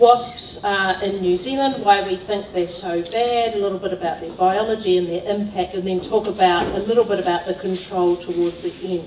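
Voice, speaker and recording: A woman's voice with fairly even intonation and hardly any pauses, in audible room echo over light background noise. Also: moderate pace. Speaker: speaker. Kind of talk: lecture. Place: hall.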